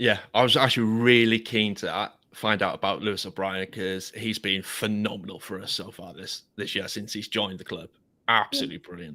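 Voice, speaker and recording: Speaking with a London accent, a man uses a fairly low pitch and a bright, sharp tone at a fairly quick pace, his intonation fairly even but his loudness swinging widely, on a very clean recording with a silent background. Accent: English, London-like. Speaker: podcast host. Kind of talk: casual chat.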